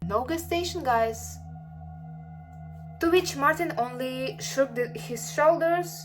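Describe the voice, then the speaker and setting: At a fairly slow pace with long, frequent pauses, a woman with a non-native accent talks in big swings of loudness while music plays in the background. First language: not English. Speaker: artist and YouTuber. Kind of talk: storytelling of original character lore. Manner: halting, many repetitions and fillers.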